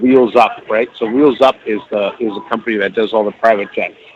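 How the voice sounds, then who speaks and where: Over noticeable background noise, a man with a medium pitch talks at a fairly quick pace and with fairly even intonation. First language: Spanish. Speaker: chef. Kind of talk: casual chat.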